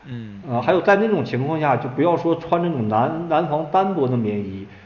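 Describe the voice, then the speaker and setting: A fairly high-pitched man with very wide pitch swings at a moderate pace, with audible room echo and noticeable background noise. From Inner Mongolia, China. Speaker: author and Korean War researcher. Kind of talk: interview. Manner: hesitant with many fillers.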